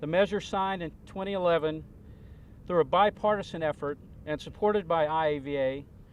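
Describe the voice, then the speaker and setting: A man with a high pitch speaks at a moderate pace. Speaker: veterans advocate. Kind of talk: prepared speech at press conference. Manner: formal.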